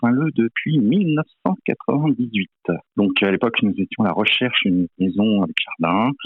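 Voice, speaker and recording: Delivered at a moderate pace, this man's voice holds a very even loudness while his intonation stays lively. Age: 60s. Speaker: finance director, campaign team member. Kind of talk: interview. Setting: phone call. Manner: hesitant, many fillers.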